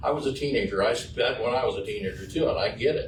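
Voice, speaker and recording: A man at a moderate pace, with audible room echo. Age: 70s. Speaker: resident speaking at public meeting. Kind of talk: public comment at city meeting.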